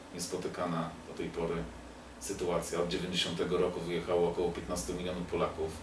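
Noticeable background noise sits behind a man with a very deep, low voice talking at a fairly quick pace in a monotone, flat intonation. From Poland. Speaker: political talk show host; host of political talk show. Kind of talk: casual interview. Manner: halting. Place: home room. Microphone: camera far.

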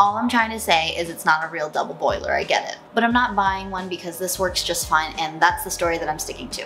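Over faint music in the background, the voice moves at a very fast pace with hardly any pauses and ordinary pitch variation. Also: woman. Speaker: home cooking vlogger. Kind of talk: casual vlog chat. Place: kitchen.

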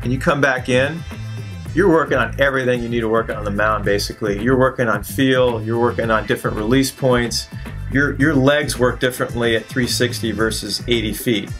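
Faint music plays in the background. A man talks at a moderate pace with fairly even intonation. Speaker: throwing coach, remote guest. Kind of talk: interview answer.

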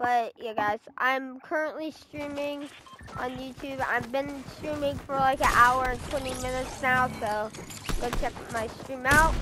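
Over music in the background, the voice is raised and projected, moving at a fairly slow pace. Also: woman, high pitch for a woman. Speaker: gaming streamer. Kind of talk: gameplay commentary. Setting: live stream. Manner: halting, many fillers.

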